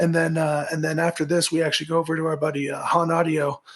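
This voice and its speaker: Over noticeable background noise, a man with a fairly high pitch talks at a fairly quick pace. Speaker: musician and former baseball pitcher. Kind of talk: interview. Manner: animated.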